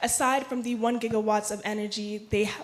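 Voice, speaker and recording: With an American accent, a woman speaks at a moderate pace in a fairly high pitch, against noticeable background noise. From US South, Atlanta, Georgia. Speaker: audience member. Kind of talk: audience question.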